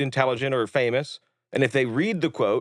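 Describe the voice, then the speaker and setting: In an animated tone, a man talks at a fairly quick pace, his voice dry and close with no echo against a quiet background. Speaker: filmmaker. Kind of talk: casual interview chat. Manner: fast.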